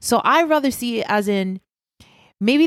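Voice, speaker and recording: A woman speaks with a Puerto Rican accent, her pitch swinging very widely. The sound is dry and close with no echo, and the recording is very clean with a silent background. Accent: Puerto Rican, rolled R's. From Puerto Rico. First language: Spanish. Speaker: pastry chef. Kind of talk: casual chat.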